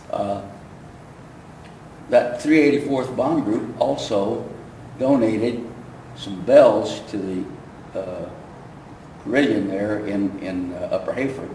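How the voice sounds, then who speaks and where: A man talks very slowly with long, frequent pauses, big swings in loudness, and ordinary pitch variation. Noticeable background noise is present. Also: medium pitch for a man. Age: 80s+. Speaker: WWII veteran museum guide. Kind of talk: oral history talk to camera. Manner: hesitant, halting.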